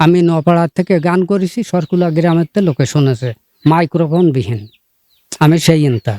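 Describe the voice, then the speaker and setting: A man speaks at a high pitch in a dark, mellow tone. His pitch varies in an ordinary way, and the sound is dry and close with no echo. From Bangladesh, Jashore. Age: 70s. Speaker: folk singer and poet. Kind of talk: interview.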